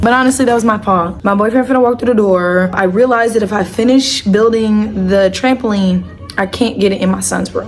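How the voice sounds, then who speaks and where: A woman with a fairly high pitch and ordinary pitch variation talks as noticeable background noise plays behind her. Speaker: vlogger, young mother. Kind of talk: casual vlog. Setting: at home, apartment. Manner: quiet; animated.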